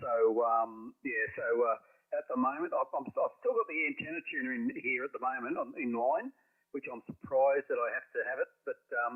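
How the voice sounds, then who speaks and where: A man with an Australian accent at a moderate pace. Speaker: ham radio operator. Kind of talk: amateur radio contact. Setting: radio transmission.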